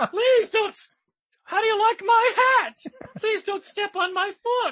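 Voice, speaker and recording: Putting on a character voice, a man squeaks in falsetto at an extremely high pitch and a fairly slow pace. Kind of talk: comic falsetto impression. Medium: solo performance.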